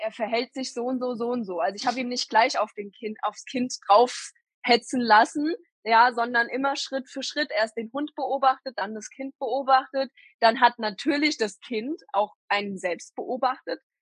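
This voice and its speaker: A woman speaks at a moderate pace in a high pitch, with a dry, close sound and no echo. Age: 20s. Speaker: mother and dog owner. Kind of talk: interview.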